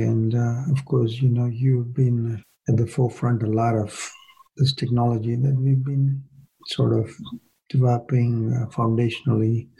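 Somewhat breathy and dark, mellow in tone, a man speaks at a moderate pace with very even loudness and fairly even intonation. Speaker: podcast interviewer. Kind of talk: interview conversation.

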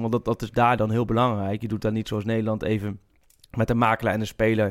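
A man at a fairly quick pace. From eastern Netherlands. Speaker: football journalist. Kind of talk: casual chat.

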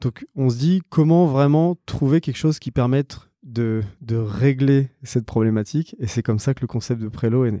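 At a moderate pace with hardly any pauses, a man talks in a medium pitch with ordinary pitch variation and a dark, mellow tone. The recording is very clean with a silent background, and the sound is dry and close with no echo. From Réunion. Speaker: startup co-founder. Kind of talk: interview.

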